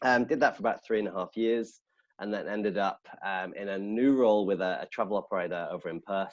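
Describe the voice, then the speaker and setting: The speaker goes at a very fast pace in a northern English accent. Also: man. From northern England. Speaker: head of sales. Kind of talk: casual chat.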